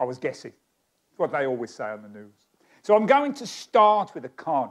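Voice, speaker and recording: A man with a southeast English accent, on a very clean recording with a silent background. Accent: southeast English (Kent). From Kent, England. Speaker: magician. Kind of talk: stage magic performance. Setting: stage with audience. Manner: comic, conversational patter.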